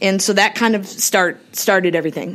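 This is a woman speaking. She has an Upper Midwest accent. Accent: Upper Midwest (Minnesota). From Minnesota, South St. Paul / Cottage Grove area. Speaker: state senator. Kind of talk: interview. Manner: hesitant with many fillers.

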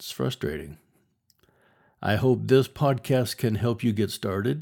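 Recorded very cleanly against a silent background, a man speaks with lively intonation and a dark, mellow tone. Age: 60s. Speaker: podcast host and writer. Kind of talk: solo podcast monologue. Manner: casual, conversational.

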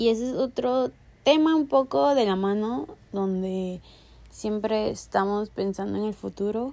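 A woman with a Mexican accent, dark and mellow in tone, fairly slow in pace, with very wide pitch swings. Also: medium pitch for a woman. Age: 20s. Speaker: podcast host. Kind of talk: casual monologue; guided meditation.

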